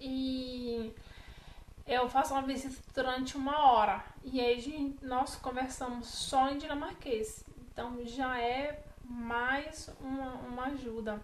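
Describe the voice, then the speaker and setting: Very slowly and with fairly even intonation, a woman speaks at a high pitch amid audible room echo. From Brazil, Bahia. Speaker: vlogger. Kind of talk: casual vlog talk to camera.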